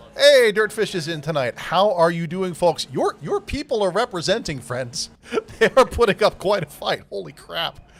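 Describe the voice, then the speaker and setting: The voice is loud, with lively intonation and a moderate pace. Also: man, high pitch for a man. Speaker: sim racing broadcast commentator. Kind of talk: live commentary.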